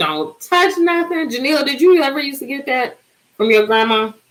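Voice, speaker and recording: High-pitched and animated, a woman speaks at a moderate pace. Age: 40s. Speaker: livestream host. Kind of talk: casual chat.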